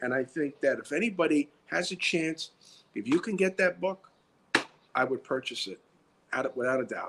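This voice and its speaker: With a New York accent, a man speaks in lively intonation, leaving long, frequent pauses. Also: fairly high pitch for a man, moderate pace. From US Northeast, New York (South Bronx). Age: 60s. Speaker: retired security director turned writer and actor. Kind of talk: interview. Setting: live stream.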